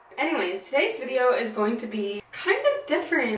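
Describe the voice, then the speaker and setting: This woman speaks at a moderate pace. Noticeable background noise runs behind her. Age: 20s. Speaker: small business owner. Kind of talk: casual talk to camera.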